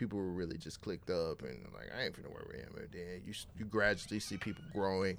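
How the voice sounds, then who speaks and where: This man talks at a very fast pace with hardly any pauses, his very deep, low pitch carrying vocal fry and lively intonation. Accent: American. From California. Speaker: podcast host. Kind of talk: interview. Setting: studio.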